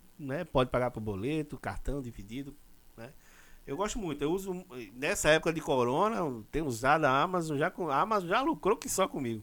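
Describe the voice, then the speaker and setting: Here a man has an unremarkable speaking voice, pitched fairly high, with lively intonation. He moves at a fairly quick pace on a very clean recording with a silent background. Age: 40s. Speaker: podcast host. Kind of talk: casual chat.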